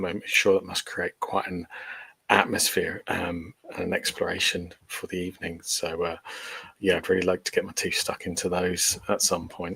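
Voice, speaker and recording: The pace of this man's speech is moderate. He has an English accent. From England, Portsmouth. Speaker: paranormal investigator. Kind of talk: podcast interview. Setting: video call, no camera.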